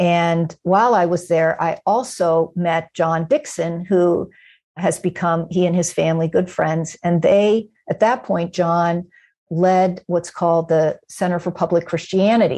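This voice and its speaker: Over a quiet background, a woman speaks fairly slowly in a fairly low pitch with a dark, mellow tone, fairly even intonation and very even loudness. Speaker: New Testament professor. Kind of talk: interview conversation.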